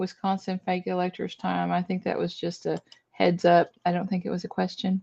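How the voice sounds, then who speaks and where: In a Southern US accent, a woman speaks at a medium pitch against a quiet background. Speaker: tarot reader. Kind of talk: casual live-stream chat.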